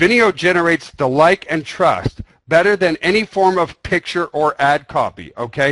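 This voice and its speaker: An animated man at a fairly high pitch, lively in intonation, in a dry, close recording with no echo. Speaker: webinar presenter. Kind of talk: webinar presentation. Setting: online conference call.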